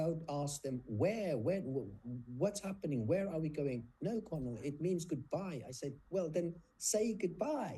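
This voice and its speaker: With a South African accent, a man speaks at a moderate pace in a fairly high pitch, his tone dark and mellow and his intonation lively. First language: Afrikaans. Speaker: nurse and author. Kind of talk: interview conversation.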